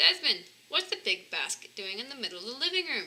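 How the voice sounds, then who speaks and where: A woman's put-on character voice, extremely high-pitched and fairly quick, with very wide pitch swings. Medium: read story. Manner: gentle.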